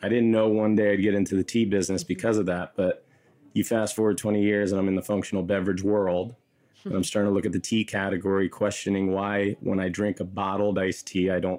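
A man speaks in a fairly low, dark, mellow voice with an American accent. His delivery is fairly quick and monotone, with flat intonation. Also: very even loudness. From Kosovo, raised in the US. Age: 20s. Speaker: beverage company founder. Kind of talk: interview. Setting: studio.

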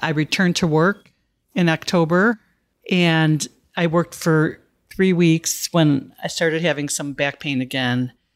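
In a very clean recording with a silent background and a dry, close sound with no echo, a woman with an ordinary speaking voice talks at a moderate pace in a fairly low pitch with ordinary pitch variation. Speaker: cancer survivor and social worker. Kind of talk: interview testimony.

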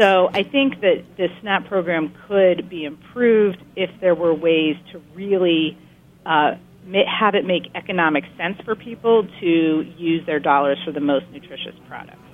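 A woman with a plain, everyday voice speaks at a fairly low pitch and a fairly slow pace, with ordinary pitch variation and big swings in loudness. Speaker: research center director. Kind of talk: expert interview discussion.

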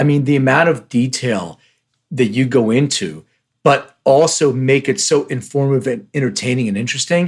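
A man with a Philadelphia accent speaks at a medium pitch. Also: ordinary pitch variation, moderate pace. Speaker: podcast host. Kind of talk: casual interview.

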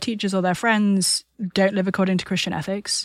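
A woman with a British accent, on a very clean recording with a silent background. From UK. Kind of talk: podcast interview.

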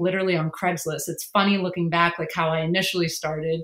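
A woman's medium-pitched voice with an American accent and monotone, flat intonation. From Massachusetts (Worcester area). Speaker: non-profit founder and documentary filmmaker. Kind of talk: interview.

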